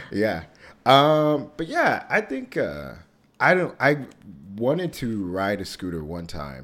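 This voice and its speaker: Speaking very slowly with an American accent, a man at medium pitch makes very wide pitch swings and big swings in loudness. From Texas, Dallas area. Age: 30s. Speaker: podcast host. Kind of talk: casual chat.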